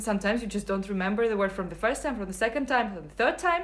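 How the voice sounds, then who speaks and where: A woman is speaking. She talks with a Russian accent. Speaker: English teacher. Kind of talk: live Q&A stream. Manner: hesitant, many fillers.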